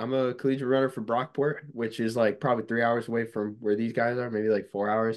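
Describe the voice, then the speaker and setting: A man speaks in an ordinary speaking voice at a medium pitch with ordinary pitch variation. The background is quiet. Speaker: college runner. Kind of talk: casual interview chat.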